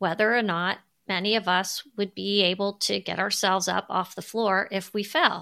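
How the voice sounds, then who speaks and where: Bright, sharp tone from a woman at a medium pitch, on a very clean recording with a silent background. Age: 50s. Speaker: podcast host. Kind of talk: solo podcast monologue.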